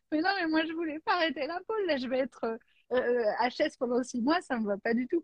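A woman is speaking. Her intonation is lively. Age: 40s. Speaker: life coach. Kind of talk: casual chat.

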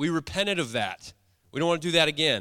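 In a dry, close sound with no echo, a man with a fairly high voice and a bright, sharp tone speaks on a very clean recording with a silent background. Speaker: church leader. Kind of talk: fervent prayer. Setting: church. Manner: intense, pleading, earnest.

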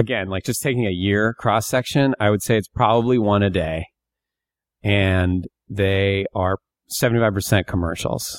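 A man with an American accent speaks at a moderate pace in a fairly low pitch, with ordinary pitch variation and an ordinary speaking voice. The sound is dry and close, with no echo. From Northeast Pennsylvania, US. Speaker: comedian and actor. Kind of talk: casual interview.

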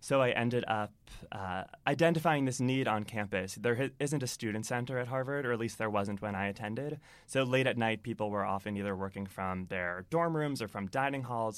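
At a fairly quick pace, a man with a plain, everyday voice speaks at a medium pitch with ordinary pitch variation on a very clean recording with a silent background. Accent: American. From Massachusetts, Boston area. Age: 20s. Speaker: entrepreneur. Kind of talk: interview.

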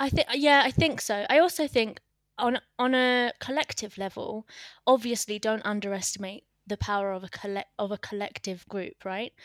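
A woman with an unremarkable speaking voice speaks at a moderate pace and a fairly high pitch, with ordinary pitch variation, on a very clean recording with a silent background. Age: young. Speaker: community founder and culture consultant. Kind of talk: casual interview.

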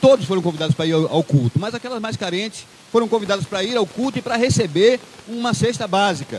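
The voice moves at a very fast pace with lively intonation. Noticeable background noise runs beneath it. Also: man. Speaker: preacher. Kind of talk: sermon. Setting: church. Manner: conversational and didactic; earnest, exhortative.

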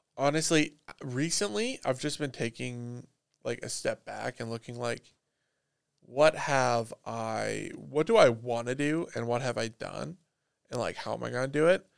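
This man talks at a fairly slow pace with a Canadian accent. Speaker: podcast host. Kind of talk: casual chat.

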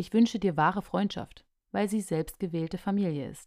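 A woman of medium pitch with a slight Saxon accent and a dark, mellow tone speaks at a moderate pace in a very clean recording with a silent background. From Saxony, Radebeul near Dresden. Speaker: podcast host. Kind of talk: solo podcast monologue.

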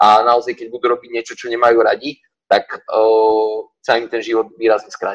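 The intonation stays monotone and flat while the loudness swings widely. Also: man, medium pitch for a man, moderate pace. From western Slovakia, Partizánske. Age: 20s. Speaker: gym owner and fitness coach. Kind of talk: casual interview. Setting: online call.

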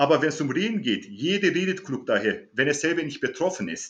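A fairly high male voice with vocal fry and very wide pitch swings. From Germany. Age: 40s. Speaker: martial arts instructor. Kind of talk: interview.

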